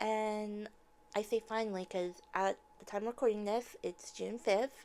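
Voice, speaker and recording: A soft-spoken woman talks at a fairly high pitch. Her pace is fairly slow and her pitch variation ordinary. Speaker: TV show reviewer. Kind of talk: casual review monologue. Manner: hesitant, many fillers.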